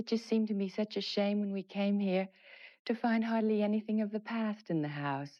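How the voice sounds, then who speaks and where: In an American accent, a woman with an ordinary speaking voice talks at a medium pitch and a moderate pace, with ordinary pitch variation. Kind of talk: interview answer. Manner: soft-spoken.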